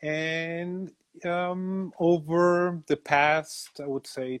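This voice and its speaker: A man's voice sounds dry and close with no echo against a quiet background. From Mexico City. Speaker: graphic designer and writer. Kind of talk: interview.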